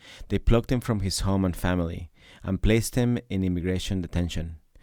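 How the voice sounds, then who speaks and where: In a Spanish accent, a man talks at a fairly quick pace with a very deep, low pitch and a dark, mellow tone, on a very clean recording with a silent background. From Ecuador. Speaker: podcast host, activist. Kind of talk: scripted narration.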